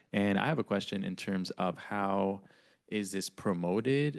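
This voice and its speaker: This man has a Spanish accent. He talks at a moderate pace. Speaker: board president chairing meeting. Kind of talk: public board meeting.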